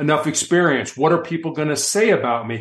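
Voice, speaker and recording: Here is a man with a plain, everyday voice. He speaks at a moderate pace with a fairly high pitch. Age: 60s. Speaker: motivational speaker and author. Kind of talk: interview. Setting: studio.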